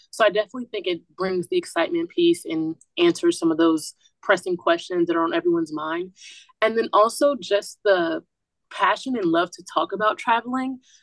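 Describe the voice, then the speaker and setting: With an American accent and a normal speaking voice, a woman talks fairly quickly at a medium pitch with lively intonation, the sound dry and close with no echo. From US South, Atlanta, Georgia. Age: young. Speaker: student podcast host. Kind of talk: casual interview.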